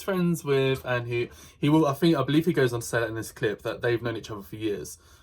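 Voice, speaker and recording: A man's voice comes through somewhat breathy. The recording is very clean, with a silent background. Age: 20s. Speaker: YouTube reaction commentator. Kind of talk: reaction commentary.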